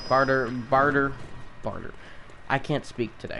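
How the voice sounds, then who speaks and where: Noticeable background noise sits under a man talking at medium pitch. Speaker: gaming streamer. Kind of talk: live gameplay commentary. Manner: halting, repeats words.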